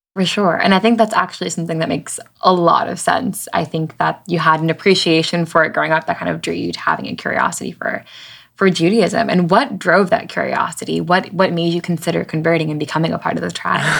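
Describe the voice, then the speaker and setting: A woman's fairly low voice with vocal fry, ordinary pitch variation and a very fast pace. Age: 20s. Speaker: podcast host. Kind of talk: interview.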